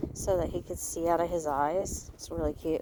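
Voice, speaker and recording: Over noticeable background noise, a soft-spoken woman talks at a moderate pace. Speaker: pony owner and vlogger. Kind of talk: casual chat. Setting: outdoors.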